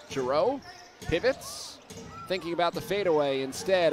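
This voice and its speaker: A man talks at a moderate pace, his pitch swinging very widely. Noticeable background noise is present. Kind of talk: live basketball play-by-play commentary. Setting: broadcast booth at a game.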